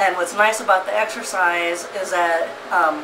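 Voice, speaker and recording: A woman with a fairly low pitch speaks in a flat monotone, with noticeable background noise and audible room echo. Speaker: video blogger. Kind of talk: casual vlog update. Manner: hesitant fillers.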